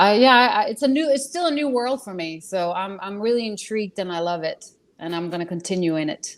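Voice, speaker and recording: At a fairly quick pace, a woman talks with lively intonation and medium pitch on a very clean recording with a silent background. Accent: European. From Europe. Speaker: actress and voice actor. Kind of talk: casual chat. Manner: halting.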